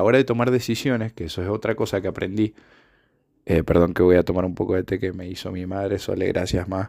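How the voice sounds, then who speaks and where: A man at fairly low pitch with fairly even intonation, on a very clean recording with a silent background. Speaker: podcaster. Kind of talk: reflective solo monologue. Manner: halting, many filler sounds.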